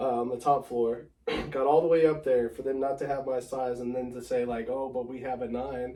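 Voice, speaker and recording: Noticeable background noise sits under speech delivered at a fairly quick pace in a monotone, flat way. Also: man, medium pitch for a man. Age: 30s. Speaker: sneaker collector. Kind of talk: casual chat.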